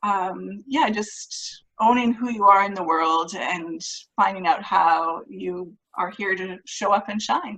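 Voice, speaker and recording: In a Canadian accent, a woman speaks very slowly at a medium pitch with a bright, sharp tone. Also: ordinary pitch variation. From Canada. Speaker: author, speaker and mindset coach. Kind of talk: interview.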